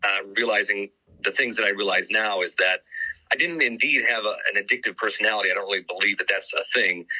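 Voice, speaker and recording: The man talks at a very fast pace with very even loudness. The sound is dry and close, with no echo. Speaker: sobriety coach, former radio personality. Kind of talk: podcast interview. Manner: loud, projecting.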